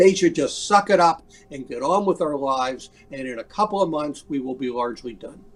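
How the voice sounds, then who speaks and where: A man speaks at a fairly quick pace with lively intonation and big swings in loudness. Music plays in the background. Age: 60s. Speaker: public health physician. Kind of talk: interview. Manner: halting, repeats words.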